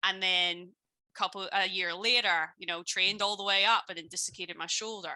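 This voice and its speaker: In a Belfast accent, a woman speaks at a fairly quick pace with medium pitch and a bright, sharp tone. Her intonation is monotone and flat, her loudness swings widely, and the recording is very clean with a silent background. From Northern Ireland, Belfast. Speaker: business coach and former personal trainer. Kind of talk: interview on a live stream.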